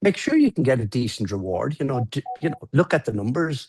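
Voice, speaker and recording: The sound is dry and close with no echo, against a quiet background. A man with a medium pitch talks at a moderate pace in a somewhat breathy voice. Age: 60s. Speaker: entrepreneur. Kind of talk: casual chat.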